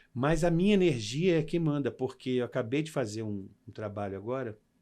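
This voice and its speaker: A man speaks with lively intonation in a dark, mellow tone. The background is quiet. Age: 60s. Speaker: actor and makeup artist. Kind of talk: interview. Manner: animated.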